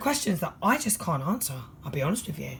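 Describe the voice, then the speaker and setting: A fairly quick delivery in a London accent. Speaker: tarot reader. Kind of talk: tarot reading monologue. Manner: fast.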